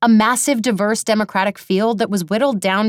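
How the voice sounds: The speaker uses a natural reading voice.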